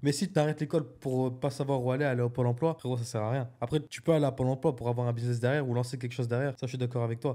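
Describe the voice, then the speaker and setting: A man with a medium pitch and a dark, mellow tone speaks at a very fast pace. He leaves hardly any pauses and keeps a fairly even intonation. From northern France, Dunkirk. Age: 20s. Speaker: entrepreneur. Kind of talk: casual chat.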